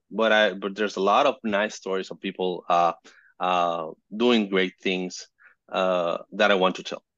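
A man with a Spanish accent speaks fairly slowly at a fairly low pitch, keeping his intonation fairly even. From Venezuela, Caracas. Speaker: photojournalist and fixer. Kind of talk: casual interview. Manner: halting.

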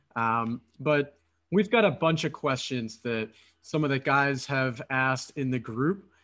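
A man speaks in a bright, sharp tone at a medium pitch with ordinary pitch variation. His pace is fairly slow and the background is quiet. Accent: American. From Philadelphia, US. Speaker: podcast host and dating coach. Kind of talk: casual interview chat. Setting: remote call.

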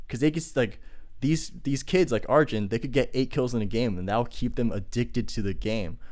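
This man talks at a fairly quick clip, with an ordinary speaking voice. His pitch is medium and varies in an ordinary way. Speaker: podcast host. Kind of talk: casual chat. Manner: casual, talkative.

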